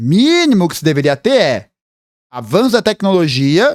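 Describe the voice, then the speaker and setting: At a moderate pace, a man with a high pitch speaks in an animated tone with very wide pitch swings, the sound dry and close with no echo in a very clean recording with a silent background. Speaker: political commentator, history youtuber. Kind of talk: reaction video commentary.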